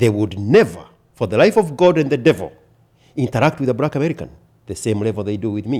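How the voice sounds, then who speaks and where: With a Kenyan accent and a dark, mellow tone, a man of medium pitch speaks at a very fast pace with lively intonation and long, frequent pauses. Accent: Kenyan accent, kept. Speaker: podcast guest. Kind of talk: casual chat. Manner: emphatic.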